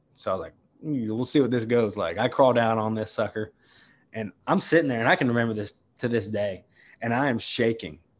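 With an American accent, an unremarkable speaking voice moves at a fairly quick pace over a quiet background. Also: man, medium pitch for a man, ordinary pitch variation. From West Virginia. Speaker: bull rider and bullfighter. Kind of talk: casual interview.

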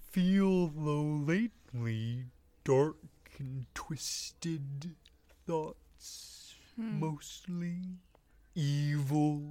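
A put-on character voice at a middle pitch moves at a very slow pace, broken by long, frequent pauses. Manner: soft, sad, odd phrasing.

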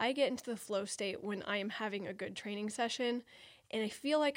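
A woman with an unremarkable speaking voice talks at a moderate pace in a medium pitch. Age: 30s. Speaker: podcast host and parkour athlete. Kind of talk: solo podcast monologue. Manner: casual, conversational.

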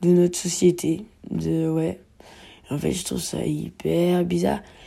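Speech from a woman comes at a very slow pace. She leaves long, frequent pauses. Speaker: podcast host. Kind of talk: casual monologue.

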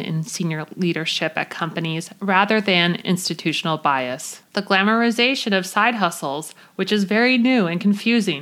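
A woman's voice, an ordinary speaking voice, at medium pitch with ordinary pitch variation and a moderate pace. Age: 30s. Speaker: podcast host. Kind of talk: scripted monologue. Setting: recording under a blanket. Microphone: muffled by blanket for acoustics.

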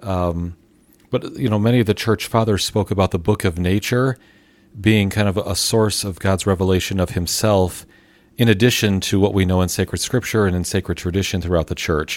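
Fairly quick and fairly even in intonation, a man talks in an ordinary speaking voice pitched fairly low. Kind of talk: casual chat.

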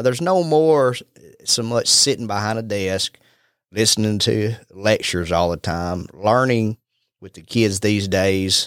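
A man in a Southern US accent, fairly low-pitched and fairly slow, with ordinary pitch variation and big swings in loudness, on a very clean recording with a silent background. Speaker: real estate agent and podcast host. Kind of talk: casual chat.

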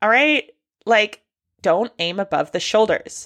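In a medium-pitched voice, a woman speaks at a fairly slow pace. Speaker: astrologer and tarot reader hosting a solo podcast. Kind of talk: casual solo monologue on astrology. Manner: laughs often.

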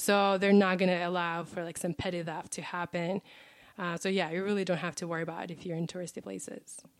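A woman with a Russian accent talks very fast at a fairly low pitch, in a monotone, flat intonation. The recording is very clean, with a silent background. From Russia, Ural Mountains. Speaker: travel guest. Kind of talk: casual interview.

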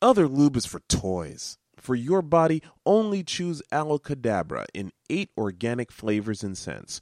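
Speaking at a fairly slow pace, a man uses a medium pitch with very wide pitch swings and big swings in loudness. The sound is dry and close, with no echo. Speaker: radio show host. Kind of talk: radio DJ patter: a station ID, then a plug for the show's web address and email. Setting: radio station broadcast and podcast.

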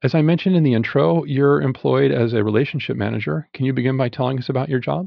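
Barely pausing, a man races along at a very fast pace, his medium-pitched voice full of lively intonation. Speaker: podcast host. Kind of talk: interview.

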